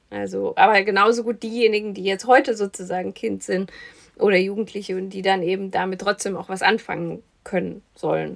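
This woman speaks fairly quickly at a medium pitch, with vocal fry and a fairly even intonation. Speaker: film podcast host. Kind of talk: casual chat.

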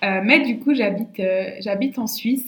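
Very slow speech from a woman, fairly high in pitch, its pitch varying in an ordinary way. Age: 20s. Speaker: naturopath and podcast host. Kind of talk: casual solo monologue. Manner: hesitant, many fillers and repetitions.

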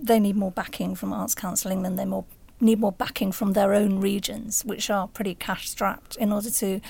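A woman talks at a fairly quick pace in a medium-pitched voice with vocal fry. Her intonation stays monotone and flat, and the recording is very clean with a silent background. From northern England, Sheffield. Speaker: journalist. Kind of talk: interview.

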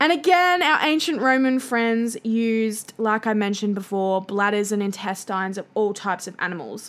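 A woman speaks at a fairly high pitch in a strong Australian accent, with noticeable background noise. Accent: broad Australian. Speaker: podcast host. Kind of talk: solo educational podcast monologue. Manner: casual, chatty with fillers.

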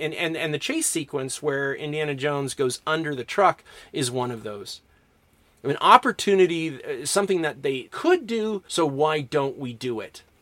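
A man's plain, everyday voice, fairly high-pitched, with lively intonation and a moderate pace. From Canada, Alberta. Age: 40s. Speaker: English professor and podcast host. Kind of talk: lecture.

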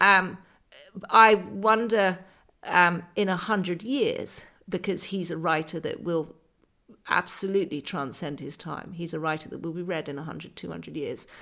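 A woman's fairly low voice with a bright, sharp tone and vocal fry, big swings in loudness, ordinary pitch variation and a moderate pace, on a very clean recording with a silent background. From Scotland. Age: 40s. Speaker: writer and journalist. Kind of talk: casual interview chat. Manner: hesitant, many fillers.

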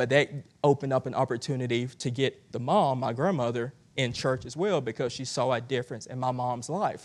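In a Southern US accent, a man talks fairly quickly. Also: quiet background. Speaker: guest preacher. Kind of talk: sermon. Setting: church with congregation. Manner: halting with many fillers.

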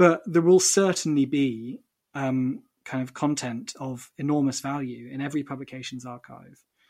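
Big swings in loudness mark this man's fairly high-pitched voice, which moves at a moderate pace with ordinary pitch variation. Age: 30s. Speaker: magazine special projects head. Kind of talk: interview. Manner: hesitant, many fillers.

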